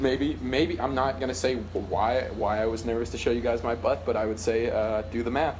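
Talking at a moderate pace with hardly any pauses, a man with a medium-pitched voice and ordinary pitch variation is heard against audible room echo. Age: 20s. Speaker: comedy writer and sketch performer. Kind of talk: casual chat. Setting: video call.

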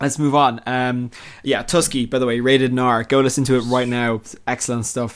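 Speaking at a fairly quick pace, a man delivers his words in a monotone, flat intonation. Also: medium pitch for a man. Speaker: podcast host. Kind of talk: casual chat. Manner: chatty, laughs often.

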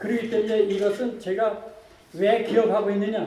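A man talks fairly slowly, with noticeable background noise around him. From North Pyongan, North Korea. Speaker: former political prisoner. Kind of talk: testimony.

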